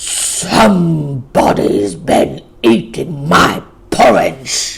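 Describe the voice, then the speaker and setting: A man puts on a character voice. His pitch is fairly high and his pace very slow. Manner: growling.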